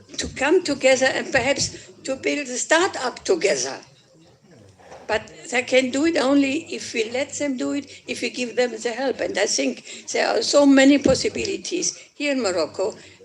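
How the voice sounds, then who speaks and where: A woman's high-pitched voice with lively intonation at a moderate pace amid noticeable background noise. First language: German. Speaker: politician. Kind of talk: conference speech. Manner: halting.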